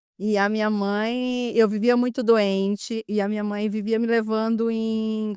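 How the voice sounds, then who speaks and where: Over a quiet background, a woman with a dark, mellow tone and fairly high pitch speaks at a very slow pace in a monotone, flat intonation. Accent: northeastern Brazilian. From Brazil, Maranhão (Northeast). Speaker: physiotherapist and spiritual healer. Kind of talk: podcast interview. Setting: studio.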